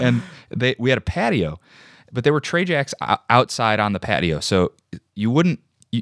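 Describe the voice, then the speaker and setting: A man with a Chicago accent talks at a fairly quick pace in a medium pitch. His intonation is lively, with vocal fry, and the sound is dry and close with no echo. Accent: Midwestern American (Chicago area). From US Midwest, Joliet, Illinois. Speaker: actor and comedian. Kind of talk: casual chat.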